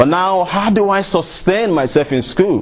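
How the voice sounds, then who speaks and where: A man with a high pitch and a Nigerian accent, over noticeable background noise. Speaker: motivational speaker. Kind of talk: motivational talk.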